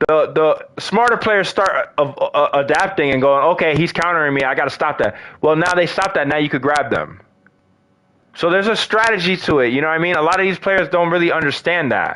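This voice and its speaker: An animated man speaks at a fairly quick pace in a high, bright and sharp tone, his pitch varying in an ordinary way and his loudness very even. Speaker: gaming streamer. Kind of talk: live gameplay commentary.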